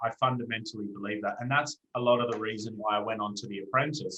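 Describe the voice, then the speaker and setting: A man talks with an Australian accent. His pace is fairly quick and his intonation fairly even. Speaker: entrepreneur. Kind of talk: interview.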